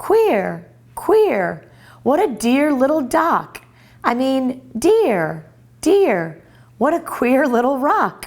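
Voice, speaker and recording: Putting on a squeaky character voice, a woman speaks at a high pitch with very wide pitch swings, at a very slow pace full of long, frequent pauses. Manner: funny, muddled.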